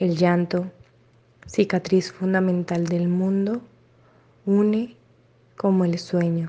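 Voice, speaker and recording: A woman at a very slow pace, dark and mellow in tone, monotone and flat, with long, frequent pauses against a quiet background. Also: medium pitch for a woman. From Colombia, Cali. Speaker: poet. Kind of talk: poetry reading.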